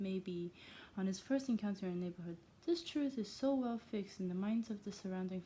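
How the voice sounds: This is a natural reading voice. Nothing more is noted.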